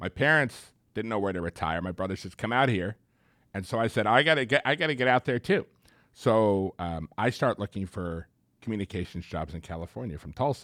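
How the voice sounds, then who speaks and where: A man speaks at a fairly quick pace with an American accent and a fairly low pitch, in a plain, everyday voice. His intonation is lively. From US Northeast, Long Island, New York. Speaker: city government official, former broadcast journalist. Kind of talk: casual interview.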